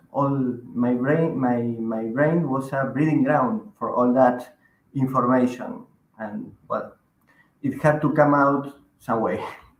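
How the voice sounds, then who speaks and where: Using ordinary pitch variation, a man with a medium pitch speaks at a fairly slow pace with long, frequent pauses. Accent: Spanish. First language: Spanish. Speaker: magazine editor and writer. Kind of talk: interview.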